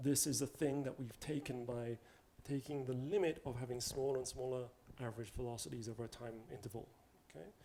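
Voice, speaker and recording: In a dark, mellow tone, a man talks with a non-native accent. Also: medium pitch for a man, ordinary pitch variation, fairly quick pace. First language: not English. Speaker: mathematics lecturer. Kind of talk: lecture. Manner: casual, conversational.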